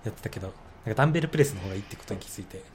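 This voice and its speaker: Lively intonation marks a man's speech, with noticeable background noise in the mix. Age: 20s. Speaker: graduate student. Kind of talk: casual chat.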